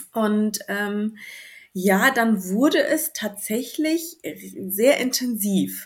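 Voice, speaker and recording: Somewhat breathy and fairly high in pitch, a woman speaks at a very slow pace with lively intonation. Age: 30s. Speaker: new mother sharing birth story. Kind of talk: interview. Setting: remote recording in the evening.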